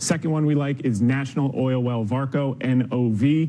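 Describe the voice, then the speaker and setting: A man's normal speaking voice, medium in pitch, with fairly even intonation. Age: 40s. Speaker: stock market commentator. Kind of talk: TV interview. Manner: fast, punchy.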